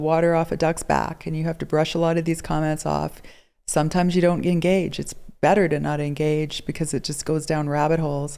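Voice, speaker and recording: Fairly quick and fairly even in intonation, a woman talks with a dark, mellow tone at a fairly low pitch. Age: 60s. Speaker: guest with multiple sclerosis. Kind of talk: interview.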